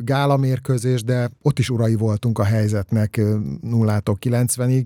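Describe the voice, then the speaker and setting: A man's dark, mellow tone at medium pitch, monotone and flat, with a dry, close sound, no echo, and a very clean recording over a silent background. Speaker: sports journalist. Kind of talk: casual chat.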